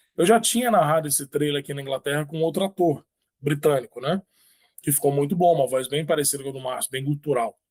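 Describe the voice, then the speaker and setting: A man's somewhat breathy, fairly high voice at a very fast pace, with ordinary pitch variation, dry and close with no echo. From Brazil, Espírito Santo. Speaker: author. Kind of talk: interview.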